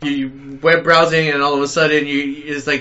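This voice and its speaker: A fairly high-pitched, fairly quick man's delivery in a normal speaking voice. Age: 40s. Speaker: podcast co-host. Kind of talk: casual chat.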